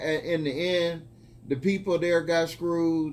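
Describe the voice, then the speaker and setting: Speaking at a fairly slow pace, a man uses a normal speaking voice with a fairly high pitch. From US Midwest, Grand Rapids, Michigan. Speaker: newspaper journalist. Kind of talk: casual interview. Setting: outdoors. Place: office. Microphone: phone near.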